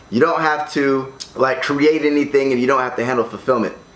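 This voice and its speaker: This man talks fairly quickly at a medium pitch with an American accent. Background noise is noticeable. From United States. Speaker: online entrepreneur. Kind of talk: tutorial. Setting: condo room. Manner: casual, filler-heavy.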